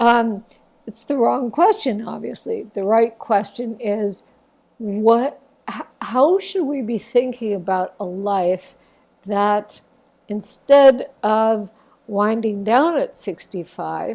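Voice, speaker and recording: Talking at a very slow pace with an American accent, the speaker's loudness swings a lot. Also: woman, fairly high pitch for a woman, ordinary pitch variation. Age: 60s. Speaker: documentary filmmaker. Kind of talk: interview. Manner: halting, many fillers.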